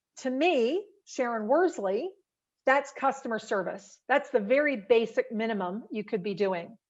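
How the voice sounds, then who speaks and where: A woman talks at a high pitch with lively intonation. She keeps a fairly slow pace against a quiet background. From Australia. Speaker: professional speaker. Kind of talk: webinar presentation.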